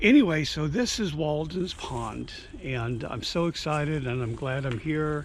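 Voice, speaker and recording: A man with a fairly high pitch and lively intonation speaks at a fairly slow pace, with audible room echo. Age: 60s. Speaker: long-distance walker and vlogger. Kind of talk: interview; casual vlog talk.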